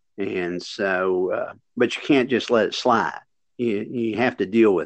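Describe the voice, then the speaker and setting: In an Appalachian accent, a man talks at a medium pitch. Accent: Appalachian Southern US. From West Virginia, US. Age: 60s. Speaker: veteran PE teacher and workshop presenter. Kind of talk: casual interview.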